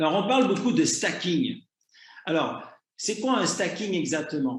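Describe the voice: A man speaks at a moderate pace with a fairly high pitch, big pitch swings and audible room echo.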